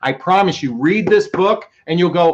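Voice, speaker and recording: Someone shouts loudly at a moderate pace. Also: man. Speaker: relationship coach. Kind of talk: live stream talk. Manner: loud, yelling.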